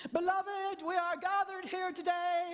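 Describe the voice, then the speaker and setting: An extremely high, put-on character voice delivers its lines at a moderate pace in a solemn tone. The intonation stays monotone and flat. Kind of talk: formal, ceremonial. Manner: solemn, preacher-like.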